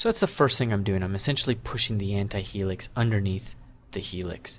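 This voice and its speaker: A man talks at a moderate pace. His voice is somewhat breathy and fairly low in pitch. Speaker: 3D sculpting instructor. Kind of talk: tutorial.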